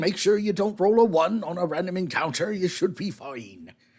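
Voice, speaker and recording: A man adopts a put-on character voice, delivering his lines at a moderate pace. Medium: actual play. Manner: folksy, polite, addresses people as sir.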